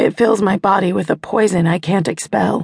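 In a dry, close recording with no echo, a woman speaks fairly slowly at a medium pitch, her intense, tearful tone edged with vocal fry. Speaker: audiobook narrator. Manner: slows to a hushed, pained delivery, with a sneering smug tone for the villain's dialogue.

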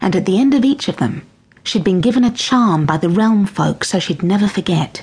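The clip offers a natural reading voice. Nothing else stands out.

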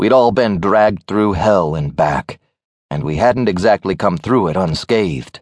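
Lively intonation from a natural reading voice, the background quiet

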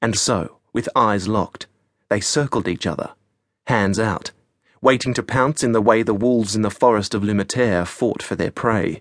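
A man's normal speaking voice, fairly low-pitched, at a moderate pace with fairly even intonation, dry and close with no echo, over a quiet background. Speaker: audiobook narrator.

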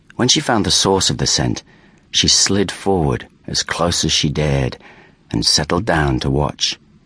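A man speaks at a fairly slow pace in a very deep, low voice. His intonation is lively, with vocal fry throughout. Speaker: audiobook narrator. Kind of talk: suspenseful dramatic narration of a predator stalking. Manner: measured, tension-building pacing; hushed, ominous storytelling tone.

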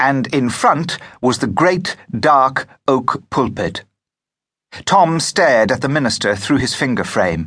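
The bright, sharp tone swings very widely in pitch and carries vocal fry at a fairly slow pace. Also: man. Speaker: audiobook narrator. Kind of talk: audiobook narration. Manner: steady, measured storytelling pace; expressive, vivid period-story reading.

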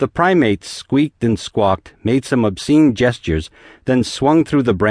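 Lively intonation marks this delivery. It is an unforced reading voice.

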